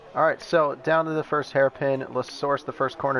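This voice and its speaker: A man speaks at fairly high pitch with fairly even intonation. Noticeable background noise is present. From United States. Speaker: sim racing commentator. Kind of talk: live commentary.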